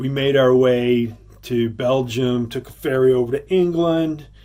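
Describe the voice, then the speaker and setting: With a Texan accent, a man speaks at a medium pitch with ordinary variation. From Texas. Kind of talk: casual storytelling to camera.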